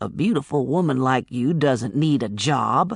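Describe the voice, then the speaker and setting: A man puts on a growling character voice at medium pitch with ordinary pitch variation. He keeps a moderate pace, and the sound is dry and close with no echo. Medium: read story. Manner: folksy, teasing.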